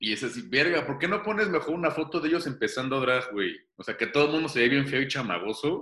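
In a Mexican accent, this speaker moves at a moderate pace with very wide pitch swings. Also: man. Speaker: playwright and actor. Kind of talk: casual chat.

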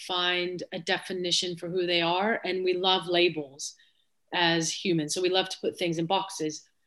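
With an American accent, a woman talks at a fairly slow pace in a medium pitch, a plain, everyday voice. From United States. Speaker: former footballer turned sports executive. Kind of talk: casual interview chat.

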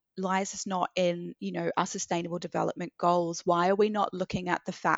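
A woman with a New Zealand accent speaks in a fairly low pitch. Her pace is moderate and her intonation monotone and flat. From New Zealand, Christchurch. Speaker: activist and charity co-founder. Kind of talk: casual chat.

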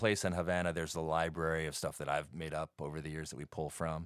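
Very fast and fairly even in intonation, a man with a very deep, low pitch speaks in a very clean recording with a silent background. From New York, Brooklyn. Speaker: bar owner and musician. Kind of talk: casual chat. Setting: studio.

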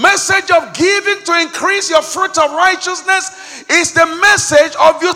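Raised and projected, a man's intense voice moves at a moderate pace over noticeable background noise. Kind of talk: fervent prayer and renunciation led before a congregation, full of pleading and praise. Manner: intense, urgent, commanding, rising in emphasis as a preacher would; repetitive, rhythmic, declaring each line with conviction.

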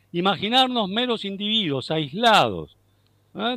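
A man talks with very wide pitch swings. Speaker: philosophy professor. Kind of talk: interview. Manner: halting.

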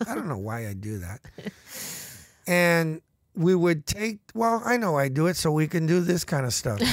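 At a moderate pace, a man with a high voice swings his pitch very widely and leaves long, frequent pauses. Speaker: bandmate and musician. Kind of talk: casual chat telling stories.

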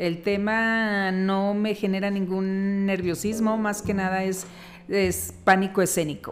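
Delivered at a very slow pace, the monotone, flat speech carries audible room echo. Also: woman, medium pitch for a woman. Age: 50s. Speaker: podcast host's mother. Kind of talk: interview.

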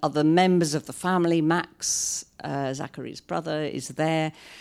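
The speaker talks at a very slow pace with a British accent. The intonation is monotone and flat. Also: woman. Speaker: novelist. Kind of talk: author reading and talk. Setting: live stage with audience at a library.

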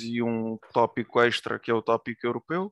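The sound is dry and close with no echo, over a quiet background. A man speaks fairly slowly at a medium pitch. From Portugal, Tomar (born in Ukraine). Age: 20s. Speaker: political candidate, student. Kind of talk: interview. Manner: halting, many fillers.

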